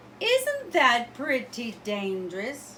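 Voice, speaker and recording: A female-sounding voice, raised and projected, pitched high in a put-on character voice. Background noise is clearly audible. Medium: read story. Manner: prim, disapproving.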